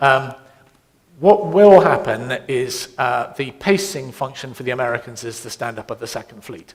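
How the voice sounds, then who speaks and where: A man's British accent at medium pitch, with lively intonation, big swings in loudness and a moderate pace. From Britain. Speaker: navy admiral. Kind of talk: panel Q&A. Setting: conference seminar with audience.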